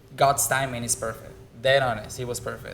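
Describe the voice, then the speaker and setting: In a Spanish accent, the voice comes through with audible room echo. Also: man. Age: 20s. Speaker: bartender. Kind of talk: casual chat.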